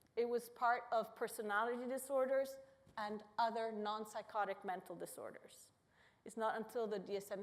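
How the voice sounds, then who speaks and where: At a moderate pace, a woman speaks in a fairly high voice with fairly even intonation. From Italy. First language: Italian. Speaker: neuroscience professor. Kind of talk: public lecture. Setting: auditorium with audience.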